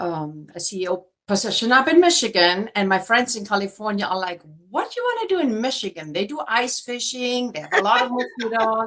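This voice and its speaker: The speaker has a German accent and lively intonation. The pace is fairly quick. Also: woman, fairly high pitch for a woman. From Germany. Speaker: real estate agent. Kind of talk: interview.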